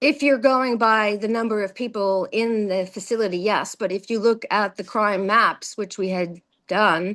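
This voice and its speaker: A woman with an American accent speaks at a fairly high pitch and a moderate pace, with hardly any pauses. Her intonation is fairly even, and the background is quiet. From New Jersey, Morristown. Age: 50s. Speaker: political candidate. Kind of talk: interview. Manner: hesitant, many fillers.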